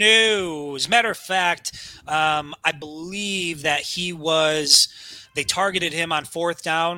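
A man's normal speaking voice, fairly high in pitch, at a fairly slow pace with fairly even intonation. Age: 30s. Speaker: sports podcast co-host. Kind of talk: casual sports talk.

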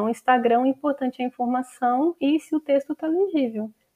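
A woman with a high voice talks at a moderate speed. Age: 20s. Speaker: writer and social media content creator. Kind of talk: casual interview.

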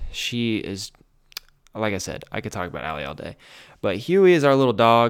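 The speaker has an American accent and an animated tone. The pace is fairly quick. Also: man. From US Midwest, central Ohio. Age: 20s. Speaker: podcast host and filmmaker. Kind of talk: casual solo monologue.

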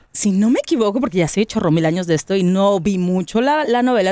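A woman with an unremarkable speaking voice talks at a fairly quick pace and medium pitch with lively intonation. The recording is very clean and silent behind her, with dry, close sound and no echo. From Mexico, Monterrey. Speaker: podcast host, radio presenter. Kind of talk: casual chat.

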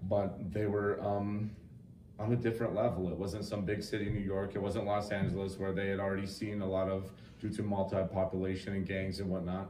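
Over noticeable background noise, a man with an American accent talks at a fairly quick pace in a fairly low, monotone, flat voice. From Wyoming, US. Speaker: podcast co-host. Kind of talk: casual chat about true crime.

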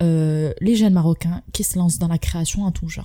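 Her voice has a dark, mellow tone, somewhat breathy, as this woman speaks with fairly even intonation. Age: 20s. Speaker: podcast host. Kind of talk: casual interview.

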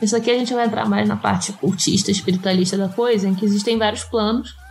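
Over noticeable background noise, a woman speaks in a fairly high pitch with fairly even intonation. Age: 20s. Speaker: astrologer and podcast co-host. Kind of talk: casual chat.

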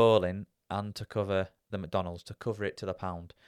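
In a very clean recording with a silent background and a dry, close sound with no echo, a man with a plain, everyday voice talks at a moderate pace and fairly low pitch. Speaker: podcast host, interviewer, guest's son. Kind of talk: casual chat, interview.

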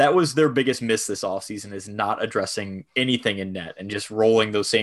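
Fairly low in pitch, a man with an American accent talks in an unremarkable speaking voice at a fairly quick pace, with ordinary pitch variation. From Buffalo, New York, US. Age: 20s. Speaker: hockey analytics podcaster. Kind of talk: casual chat.

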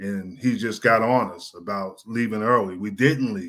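The speech moves at a fairly slow pace with an American accent. The recording is very clean, with a silent background. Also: man. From New Jersey, Jersey Shore. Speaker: former NFL player and coach. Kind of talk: interview. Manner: halting, many fillers.

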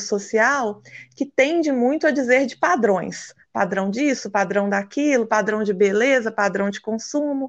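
A woman's normal speaking voice, fairly high in pitch with ordinary variation, at a fairly slow pace over a quiet background. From Brazil, Minas Gerais. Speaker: physical education teacher and equine therapist. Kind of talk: interview.

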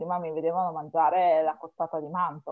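At a fairly quick pace, a woman talks in an unremarkable speaking voice with a fairly low pitch. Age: 30s. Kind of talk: casual chat.

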